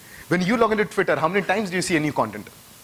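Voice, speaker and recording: A man with an Indian accent speaks in a high pitch with lively intonation, over noticeable background noise. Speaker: conference speaker. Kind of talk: conference talk. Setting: stage with audience. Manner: fast.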